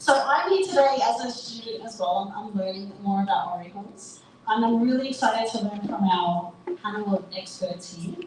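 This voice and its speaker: With an Australian accent, a woman talks at a moderate pace and medium pitch amid audible room echo and noticeable background noise. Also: ordinary pitch variation. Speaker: panel moderator, marketing agency founder. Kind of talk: panel moderation at live event. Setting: live event with audience.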